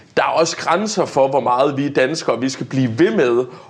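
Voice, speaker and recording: A man speaks at a moderate pace in a medium pitch. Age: 20s. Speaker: young politician. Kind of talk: debate. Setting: studio. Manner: hesitant, many fillers.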